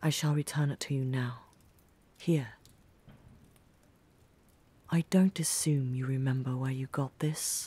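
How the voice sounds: In a put-on character voice, a woman speaks at an extremely low pitch with a dark, mellow tone and a slightly husky edge. Her fairly even intonation unfolds at a slow pace with long, frequent pauses.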